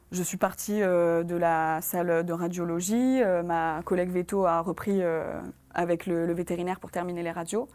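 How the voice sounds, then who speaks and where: On a very clean recording with a silent background, a woman speaks in a fairly low pitch. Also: fairly even intonation, moderate pace. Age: 20s. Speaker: former veterinary assistant. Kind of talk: testimony. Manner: halting, many hesitations.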